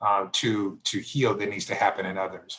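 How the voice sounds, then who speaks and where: The speaker is a man. His pitch is fairly low. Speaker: pastor and foundation leader. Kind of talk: keynote Q&A on Zoom. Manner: fast; hesitant, many fillers.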